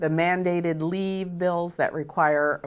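The intonation is fairly even throughout. It is delivered in a normal speaking voice. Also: woman. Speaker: guest. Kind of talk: interview answer. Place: studio.

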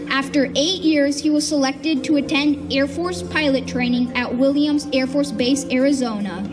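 Clear music plays behind a high-pitched woman who speaks at a moderate pace with ordinary pitch variation and hardly any pauses. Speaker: airshow announcer. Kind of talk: commentary. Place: open country.

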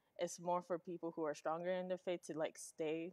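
A woman speaks with monotone, flat intonation over a quiet background. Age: young. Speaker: host's teenage daughter. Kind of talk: casual interview. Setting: live stream. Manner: casual with many fillers. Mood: relaxed, smiling. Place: studio.

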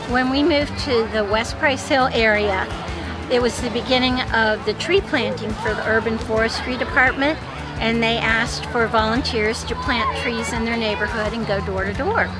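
Music plays clearly in the background. A woman speaks over it at a moderate pace. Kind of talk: interview answer. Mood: warm, fond reminiscing. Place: waterside.

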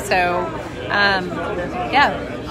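A woman's voice, dry with no echo, against crowd noise in the background. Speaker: vlogger. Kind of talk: casual vlog chat. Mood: excited, anticipating launch. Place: bar. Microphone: phone near.

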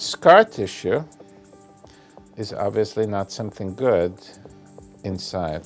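A man speaks very slowly at a fairly low pitch, with long, frequent pauses and big swings in loudness. Faint music plays in the background. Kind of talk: interview answer. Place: office.

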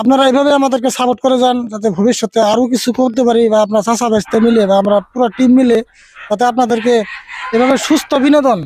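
Very even loudness and fairly even intonation. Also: man, extremely high pitch for a man. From Assam, India. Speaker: YouTube comedy channel host. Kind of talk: casual video interview. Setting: at home.

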